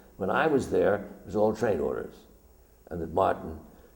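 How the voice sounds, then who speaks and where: The man talks at a fairly quick pace. Audible room echo can be heard. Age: 70s. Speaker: documentary photographer. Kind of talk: illustrated lecture. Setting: stage with audience.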